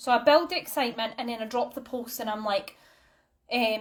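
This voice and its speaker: A woman speaks in a Scottish accent. Her pitch is high. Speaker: direct sales team leader. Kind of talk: online training talk. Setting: live stream. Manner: casual, many fillers.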